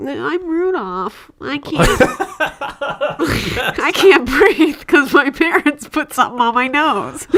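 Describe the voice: A put-on character voice, high and nasal, moves at a fairly slow pace with very wide pitch swings.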